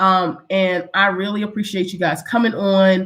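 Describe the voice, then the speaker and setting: A woman with a medium pitch talks at a moderate pace. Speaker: small business owner giving a live webinar. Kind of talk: live online workshop.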